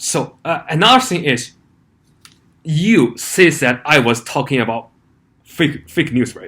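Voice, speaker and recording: With a non-native accent, a man with a fairly high pitch speaks at a fairly slow pace, using long, frequent pauses, big swings in loudness and lively intonation, on a very clean recording with a silent background. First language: not English. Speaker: YouTuber. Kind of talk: vlog commentary. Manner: halting, with many fillers.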